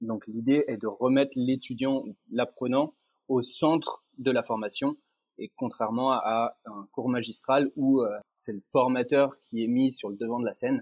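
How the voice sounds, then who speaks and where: At a fairly slow pace, the man uses an ordinary speaking voice with a medium pitch and fairly even intonation. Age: 30s. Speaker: training project manager. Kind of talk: interview.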